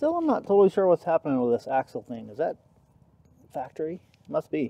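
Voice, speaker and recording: In a dry, close sound with no echo, a man talks at a very fast pace in an enthusiastic tone, his loudness swinging widely. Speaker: dirt bike hobbyist vlogger. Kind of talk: casual self-narrated vlog. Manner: casual, enthusiastic.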